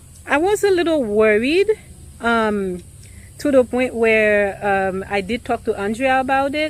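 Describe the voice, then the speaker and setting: On a very clean recording with a silent background, a woman with a non-native accent speaks at a moderate pace in a fairly high voice. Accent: noticeable foreign. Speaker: realtor. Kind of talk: casual vlog talk to camera. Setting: at a house during an inspection. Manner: hesitant, many filler ums.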